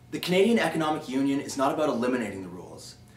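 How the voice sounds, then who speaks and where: Noticeable background noise underlies a man's very fast, lively intoned speech at a fairly high pitch. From Calgary, Alberta, Canada. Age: 20s. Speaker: political contest entrant. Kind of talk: prepared policy speech to camera.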